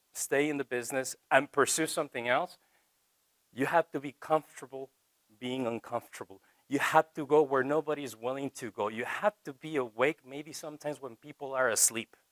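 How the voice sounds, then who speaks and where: A man speaks at a fairly quick pace with a Spanish accent and a fairly high pitch. His intonation is fairly even, his loudness swings widely, and the sound is dry and close with no echo. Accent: Spanish accent in English, choppy. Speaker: TV reporter. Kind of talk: college talk to students.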